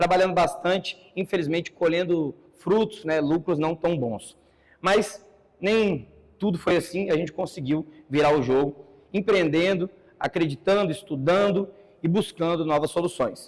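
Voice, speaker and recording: A man speaks at a moderate pace with a high pitch. His pitch varies in an ordinary way. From Brazil, São Paulo ABC region. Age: 30s. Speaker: entrepreneur giving a talk. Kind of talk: conference talk.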